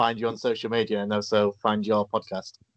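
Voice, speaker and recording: A man speaks with an English accent in a monotone, flat way. The sound is dry and close with no echo. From England. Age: 30s. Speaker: podcast host. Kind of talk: interview.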